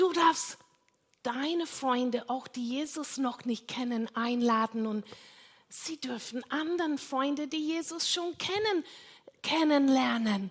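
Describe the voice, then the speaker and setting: Her pitch is high and her intonation lively. The woman talks at a very slow pace. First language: not German (speaking German). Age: 60s. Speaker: pastor. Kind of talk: sermon. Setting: church.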